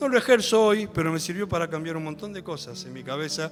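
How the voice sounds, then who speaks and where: The speaker talks at a fairly quick pace with a Rioplatense accent and ordinary pitch variation. Music plays in the background. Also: man. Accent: Argentine Spanish (rioplatense). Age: 60s. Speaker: lay preacher. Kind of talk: sermon. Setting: church.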